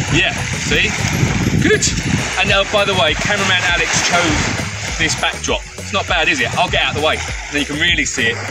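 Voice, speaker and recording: A man's fairly quick speech over music in the background. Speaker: tour company host. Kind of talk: casual vlog chat. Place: beach. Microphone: camera far.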